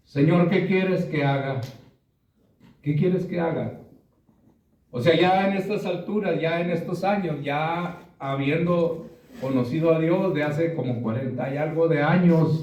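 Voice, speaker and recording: A man's high voice at a fairly slow pace, ordinary pitch variation, and audible room echo. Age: 60s. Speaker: preacher. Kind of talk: sermon.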